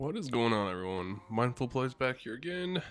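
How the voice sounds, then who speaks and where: A soft-spoken man at a medium pitch, in a very clean recording with a silent background. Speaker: gaming video creator. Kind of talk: gameplay commentary. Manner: even, calm pace.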